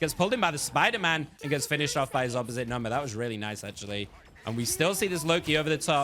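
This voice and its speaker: A very fast, excited, energetic delivery with lively intonation and music in the background. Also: man, fairly high pitch for a man. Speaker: esports shoutcaster. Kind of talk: play-by-play shoutcast.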